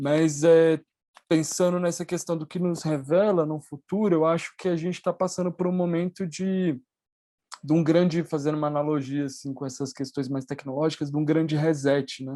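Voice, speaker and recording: The pace is moderate. The background is quiet. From Latin America. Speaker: conference panelist. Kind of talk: academic panel discussion. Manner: halting, many fillers.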